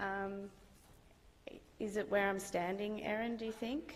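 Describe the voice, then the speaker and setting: In a room with audible echo, a woman with an Australian accent speaks at a fairly slow pace with ordinary pitch variation. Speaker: guest lecturer, IT consultant. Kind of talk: lecture. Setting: lecture theatre with audience. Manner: hesitant, many fillers. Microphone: microphone problems, hard to hear at first.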